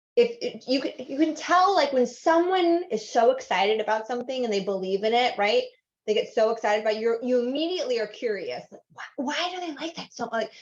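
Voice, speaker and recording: A woman with an American accent talks at a fairly quick pace with hardly any pauses, her high voice full of lively intonation. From Southern California. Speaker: workshop instructor. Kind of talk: online workshop. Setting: video call. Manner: fast; animated.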